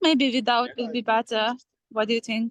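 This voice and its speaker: A woman speaks at a fairly high pitch in a Ukrainian accent. The sound is dry and close with no echo. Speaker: former baker, mother. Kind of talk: interview. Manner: halting, many fillers.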